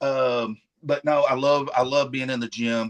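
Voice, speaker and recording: In a Southern US accent, a man at a medium pitch speaks at a moderate pace with monotone, flat intonation and a dry, close sound with no echo. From Arkansas. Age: 50s. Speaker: professional wrestler. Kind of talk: casual chat. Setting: live stream.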